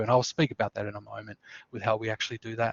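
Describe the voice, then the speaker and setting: With a strong Australian accent, a man speaks at a medium pitch. His intonation is monotone and flat. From Tasmania, Australia. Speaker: student services coordinator. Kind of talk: webinar presentation. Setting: online webinar. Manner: many fillers (uh, um).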